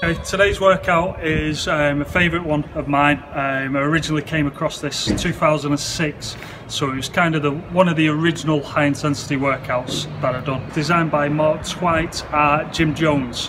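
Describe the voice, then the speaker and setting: With hardly any pauses, a man speaks at a moderate pace in monotone, flat intonation over noticeable background noise. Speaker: gym coach. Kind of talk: tutorial. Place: gym. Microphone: phone near.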